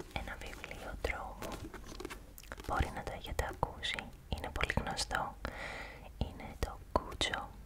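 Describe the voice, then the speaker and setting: Whispering at a fairly slow pace comes through noticeable background noise. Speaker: ASMR creator. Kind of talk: casual ASMR intro to viewers. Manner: whispered.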